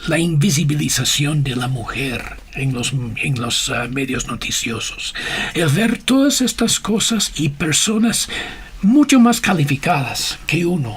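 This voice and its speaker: A man speaks very slowly at a fairly high pitch, with very wide pitch swings. Noticeable background noise runs behind him. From USA. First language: English (speaking Spanish). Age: 60s. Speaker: missionary and communication leader. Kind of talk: interview. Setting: radio studio. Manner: halting, many fillers.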